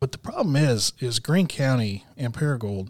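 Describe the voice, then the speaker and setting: A plain, everyday voice from a man with an American accent, medium pitch, ordinary pitch variation and moderate pace, in a dry, close sound with no echo. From Texas. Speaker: historian. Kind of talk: interview.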